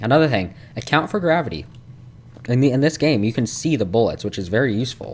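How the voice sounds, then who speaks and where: Talking at a very fast pace, a man uses a medium pitch and lively intonation. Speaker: gaming youtuber. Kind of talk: gameplay commentary tutorial. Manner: stuttering today; casual, filler-heavy.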